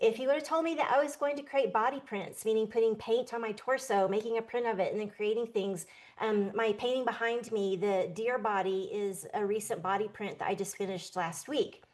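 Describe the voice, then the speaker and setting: In a normal speaking voice, a woman talks at a fairly quick pace with hardly any pauses, at a fairly high pitch with ordinary pitch variation. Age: 60s. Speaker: artist and show co-host. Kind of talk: casual chat.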